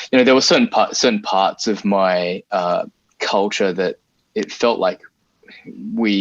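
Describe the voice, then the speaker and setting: Speaking at a fairly slow pace with an Australian accent, a man comes through in a dry, close sound with no echo. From Australia (arrived from Singapore at five). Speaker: game artist. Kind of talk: interview. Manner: halting, many fillers.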